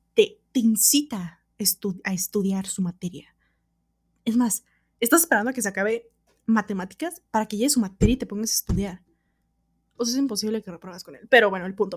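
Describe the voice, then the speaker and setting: Her voice is fairly high and somewhat breathy, with an animated tone, ordinary pitch variation, big swings in loudness, a fairly quick pace broken by long, frequent pauses, and a dry, close sound with no echo. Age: 20s. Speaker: podcaster. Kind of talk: casual solo monologue.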